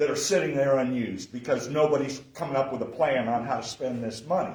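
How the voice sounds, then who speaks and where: A man's voice shows ordinary pitch variation while noticeable background noise carries on behind him. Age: 60s. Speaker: political candidate. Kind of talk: candidate forum speech. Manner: loud.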